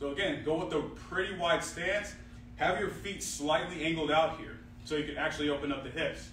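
Light background noise and audible room echo can be heard in the recording. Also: man. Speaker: fitness coach. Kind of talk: tutorial. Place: gym. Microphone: camera far.

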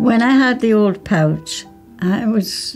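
With faint music in the background, a woman talks in a dark, mellow tone with ordinary pitch variation. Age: 80s+. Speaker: ostomy patient, great-grandmother. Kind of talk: testimonial interview answer. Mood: candid, warm, reassuring. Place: home room.

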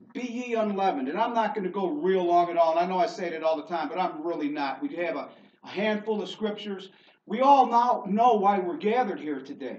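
A man at a fairly quick pace, lively intonation, and audible room echo. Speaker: preacher. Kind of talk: sermon. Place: church. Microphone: camera far.

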